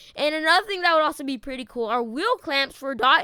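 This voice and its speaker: A woman projects a raised, high-pitched voice. Her tone is bright and sharp, at a fairly quick pace. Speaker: gaming youtuber. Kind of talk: casual gaming commentary. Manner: fast.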